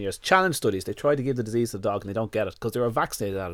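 A man with an Irish accent, medium pitch, very fast pace, and lively intonation, on a very clean recording with a silent background. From Ireland. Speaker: dog nutritionist. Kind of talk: casual interview. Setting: studio.

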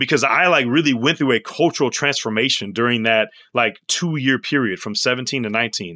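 A fairly quick pace with ordinary pitch variation on a very clean recording with a silent background. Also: man, medium pitch for a man. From US Midwest, St. Louis, Missouri. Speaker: professor and pastor. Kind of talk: interview. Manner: animated.

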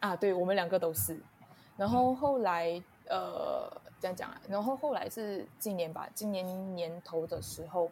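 A woman's somewhat breathy, medium-pitched voice at a fairly slow pace, with ordinary pitch variation. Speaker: podcast guest sharing personal story. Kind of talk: casual interview chat. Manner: halting, many fillers.

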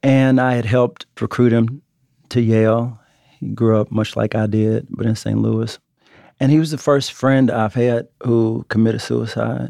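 A man's medium-pitched voice, dark and mellow, at a fairly slow pace with fairly even intonation, dry and close with no echo over a quiet background. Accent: American. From Texas, Oak Cliff near Dallas. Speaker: writer. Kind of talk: interview conversation.

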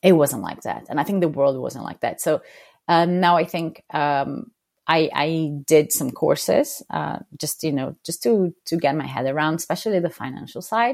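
With a Portuguese accent, a woman speaks at a very deep, low pitch on a very clean recording with a silent background. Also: lively intonation, moderate pace. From Brazil. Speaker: freelance graphic designer. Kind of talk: interview. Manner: halting, frequent repetitions.

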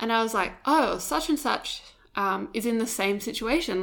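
A woman's fairly high voice with vocal fry, ordinary pitch variation and a moderate pace. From Perth, Western Australia. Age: 20s. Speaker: digital content producer. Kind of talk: casual chat. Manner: giggly.

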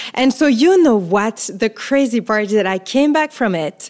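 A woman speaks at a fairly slow pace in a French accent. Her intonation is lively. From France, Paris. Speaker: photographer. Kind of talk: interview.

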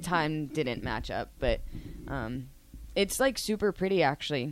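A woman with an American accent, talking at a fairly slow pace. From US South, Savannah, Georgia. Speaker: former college gymnast, now coach. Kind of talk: radio interview.

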